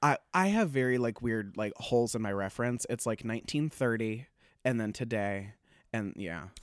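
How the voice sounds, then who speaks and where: Over a very clean recording with a silent background, a man with an American accent speaks in an animated tone at a moderate pace, his medium pitch showing ordinary variation. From US Midwest, Springfield, Illinois. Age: 20s. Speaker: stand-up comedian. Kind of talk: casual chat.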